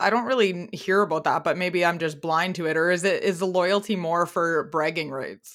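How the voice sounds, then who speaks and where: A woman talks at a moderate pace in a normal speaking voice, fairly low in pitch, with fairly even intonation and hardly any pauses. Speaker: podcast host. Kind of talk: casual interview chat. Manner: chatty, rambling.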